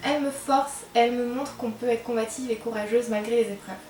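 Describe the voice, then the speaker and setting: A woman talks at a moderate pace in a high pitch with monotone, flat intonation, amid noticeable background noise and audible room echo. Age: young. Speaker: book youtuber. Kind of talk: casual vlog talk. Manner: hesitant, with fillers. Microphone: microphone problems.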